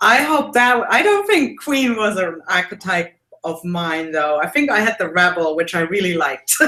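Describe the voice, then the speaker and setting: A woman speaks in a German accent at a medium pitch. Her tone is bright and sharp, with very wide pitch swings. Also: moderate pace. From Germany. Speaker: mixed media artist and art teacher. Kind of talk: casual interview. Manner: hesitant with many fillers.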